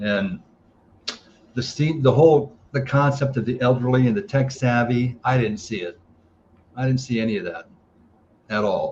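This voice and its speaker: A man of medium pitch speaks in a somewhat breathy voice. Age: 60s. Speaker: golf course operator. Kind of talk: interview. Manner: halting.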